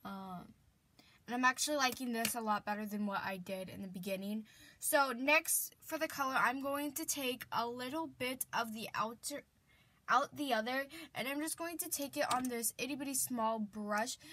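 A woman's high, bright, sharp voice moves at a moderate pace with ordinary pitch variation. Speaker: beauty vlogger. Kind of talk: makeup tutorial talk to camera. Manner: casual, chatty. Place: home room. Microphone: webcam.

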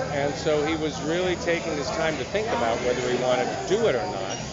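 A man talking at a fairly quick pace over loud background noise. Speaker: actor interviewee. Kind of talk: interview answer. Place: hall.

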